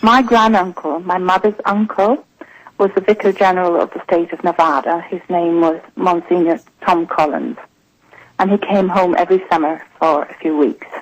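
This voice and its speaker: A woman with an Irish accent talks at a moderate pace and medium pitch, with ordinary pitch variation. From Ireland. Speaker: journalist and author. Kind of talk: radio interview.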